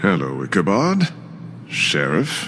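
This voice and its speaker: A man's cartoonish character voice, very deep and low in pitch, with clear background noise. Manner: smug, condescending.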